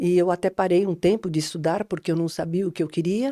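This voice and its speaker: A woman with a dark, mellow tone is heard in a very clean recording with a silent background. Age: 60s. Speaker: coach and trainer. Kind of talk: interview.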